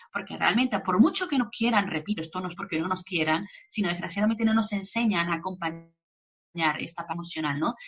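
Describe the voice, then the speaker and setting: Pitch varies in an ordinary way, and the tempo is fairly quick. It is a normal speaking voice. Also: woman, medium pitch for a woman. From Mexico. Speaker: psychologist. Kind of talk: interview. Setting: video call. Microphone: poor connection.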